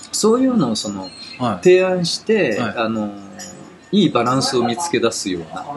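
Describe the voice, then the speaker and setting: A man with a medium pitch talks at a moderate pace, his voice making very wide pitch swings. Noticeable background noise runs underneath. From Tokyo, Japan. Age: 50s. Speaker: technology writer. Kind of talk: interview. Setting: outdoors.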